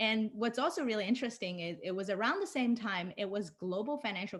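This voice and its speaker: Fairly quick, somewhat breathy speech from a woman of medium pitch, with lively intonation, on a very clean recording against a silent background. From China (Shanghai). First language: Chinese. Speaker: designer and illustrator. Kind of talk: conference talk.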